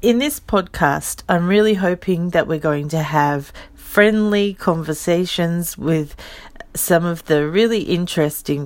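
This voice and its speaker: Using an Australian accent, a woman speaks at a fairly slow pace with a fairly low pitch and ordinary pitch variation. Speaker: podcast host and legal translator. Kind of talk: casual solo podcast introduction.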